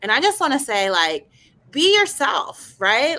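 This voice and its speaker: The tone is animated, bright and sharp. It belongs to a woman. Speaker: radio journalist and university teacher. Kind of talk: panel discussion.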